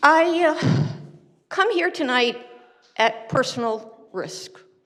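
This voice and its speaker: A woman speaks very slowly in a high voice with very wide pitch swings, and the room echo is audible. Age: 80s+. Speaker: public commenter, retiree. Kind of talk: public comment speech. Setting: city council chamber.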